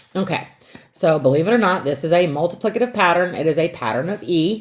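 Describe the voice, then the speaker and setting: A plain, everyday voice from a woman, fairly low in pitch, with ordinary pitch variation and a moderate pace. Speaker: math teacher. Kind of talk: lecture.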